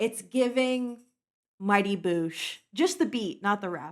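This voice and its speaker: A woman speaks at a medium pitch with an animated tone and lively intonation. The recording is very clean, with a silent background. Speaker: music reaction youtuber. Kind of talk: casual chat.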